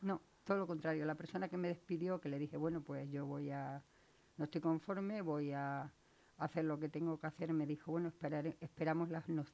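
A woman's very deep, low, dark and mellow voice with fairly even intonation at a moderate pace. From Extremadura, Spain (Valle del Jerte). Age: 50s. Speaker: laid-off retail worker. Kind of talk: radio interview. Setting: studio.

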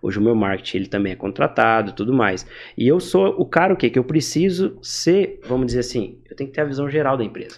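Against a quiet background, a man talks at a fairly quick pace in a plain, everyday voice, medium in pitch, with lively intonation. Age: 20s. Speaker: entrepreneur, growth hacking specialist. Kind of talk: casual interview.

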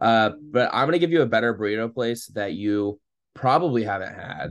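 A man with an American accent speaks at a moderate pace and medium pitch, in a plain, everyday voice. The background is quiet. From St. Louis area, US Midwest. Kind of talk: casual chat.

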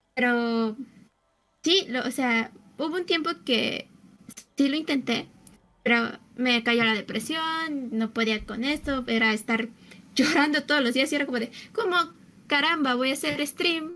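A woman's high, raised, projected voice with a Mexican accent, ordinary pitch variation, a fairly slow pace and long, frequent pauses. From Mexico City. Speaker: gamer and cosplayer. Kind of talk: casual chat.

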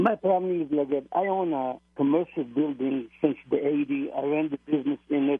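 With an Israeli accent, a man talks at a fairly high pitch and hardly pauses at all. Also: ordinary pitch variation, moderate pace. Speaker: caller, retired business owner. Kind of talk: call-in question. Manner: halting.

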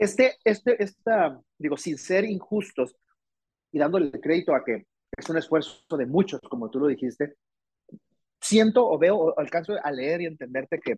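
With a Mexican accent, a man speaks at a moderate pace and fairly high pitch, his intonation lively and the sound dry and close with no echo. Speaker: podcast host. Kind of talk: interview.

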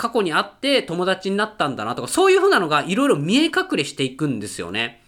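A man's raised, projected voice, animated, bright and sharp, at a fairly quick pace with very wide pitch swings. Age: 30s. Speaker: podcast host and film reviewer. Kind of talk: casual solo monologue.

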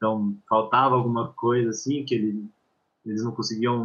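A man's unremarkable speaking voice, medium in pitch, at a fairly quick pace against a quiet background. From São Paulo, Brazil. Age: 20s. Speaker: football performance analyst. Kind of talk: casual chat.

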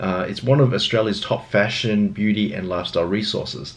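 A man speaks in a normal speaking voice at a fairly low pitch. His pace is moderate, with ordinary pitch variation. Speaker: podcast host. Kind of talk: interview. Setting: video call. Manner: casual, friendly.

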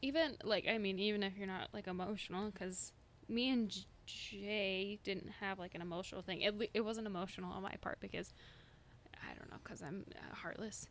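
A woman speaks at a moderate pace in a plain, everyday voice, her pitch medium and her intonation fairly even, though her loudness swings widely. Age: 20s. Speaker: podcast co-host. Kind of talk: casual chat.

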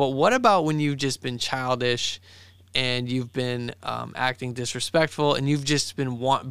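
A man in an unremarkable speaking voice, medium pitch, moderate pace, and fairly even intonation, on a very clean recording with a silent background. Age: 30s. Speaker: podcast co-host, shop owner. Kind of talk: casual chat.

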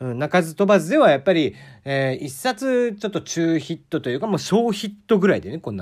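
A man's high-pitched voice with very wide pitch swings at a fairly quick pace, on a very clean recording with a silent background. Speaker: podcast host. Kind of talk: casual solo talk.

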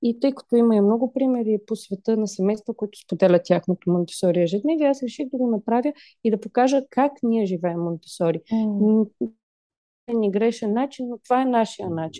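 Here a woman has an unremarkable speaking voice, pitched fairly high. She talks at a fairly quick pace with ordinary pitch variation. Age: 20s. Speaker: parenting blogger, mother. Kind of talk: casual chat.

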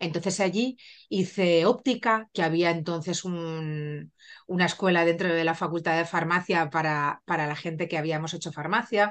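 A woman's fairly low-pitched, ordinary speaking voice over a quiet background. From Spain. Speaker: pharmacist and cosmetics brand founder. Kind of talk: interview.

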